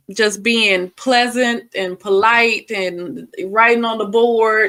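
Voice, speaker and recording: Her tone bright and sharp, a woman with a fairly high pitch speaks at a very slow pace with fairly even intonation. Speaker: reaction commentator. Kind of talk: casual chat.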